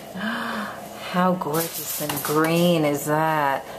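Against clear background noise, a woman speaks at a low pitch with fairly even intonation.

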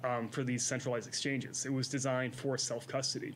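Over light background noise, a man with an American accent speaks at a fairly quick pace in a somewhat breathy voice. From Western New York. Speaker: crypto content head, co-host. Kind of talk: casual educational chat. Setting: studio. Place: studio. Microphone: studio mic.

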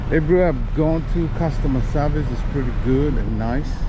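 The sound is dry with no echo, and noticeable background noise runs beneath it. Speech comes at a fairly slow pace. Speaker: father vlogger. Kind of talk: casual vlog chat. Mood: relaxed, pleased. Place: street. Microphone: phone near.

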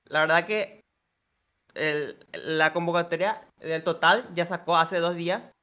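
A man speaks very slowly in a high voice with a bright, sharp tone. His intonation stays fairly even against a quiet background. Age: 20s. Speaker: football content creator; football streamer. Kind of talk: casual chat; casual sports talk with a guest. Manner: halting. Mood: relaxed, cheerful. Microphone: studio mic.

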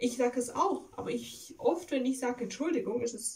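With lively intonation, a woman talks at a fairly high pitch. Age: 20s. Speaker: video blogger. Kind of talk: casual vlog monologue. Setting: at home. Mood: reflective, calm. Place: home room. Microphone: phone near.

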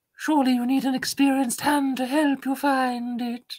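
A put-on character voice, female-sounding and high-pitched, with monotone, flat intonation at a moderate pace. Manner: scheming, ingratiating.

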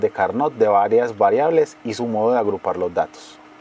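A man's voice at medium pitch. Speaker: voice-over narrator. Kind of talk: educational course narration.

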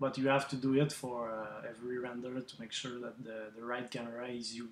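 A man with a non-native accent speaks at a fairly quick pace in a medium pitch, his intonation monotone and flat. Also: big swings in loudness. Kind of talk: software tutorial. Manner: hesitant, many fillers.

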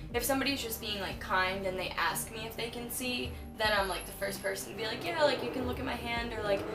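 Over clear music in the background, a woman talks at a very fast pace with hardly any pauses and ordinary pitch variation. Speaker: interview guest. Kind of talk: interview answer. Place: home room.

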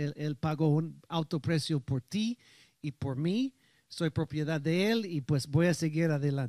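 A fairly high-pitched man with an English accent at a fairly slow pace, ordinary pitch variation, dry sound with no echo and a quiet background. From United States. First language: English (speaking Spanish). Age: 60s. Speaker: pastor. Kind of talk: sermon. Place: church. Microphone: handheld.

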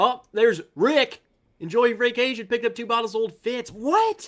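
With lively intonation and a fairly bright tone, a man speaks at an extremely high pitch and a moderate pace.

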